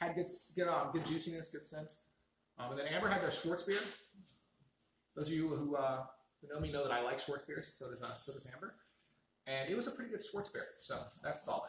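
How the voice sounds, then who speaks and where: A man with a fairly high pitch and ordinary pitch variation talks at a fairly quick pace with long, frequent pauses, with audible room echo. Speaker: beer review show host. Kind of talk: casual chat.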